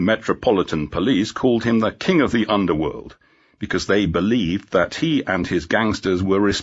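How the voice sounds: A natural reading voice is heard. It is the clip's only feature.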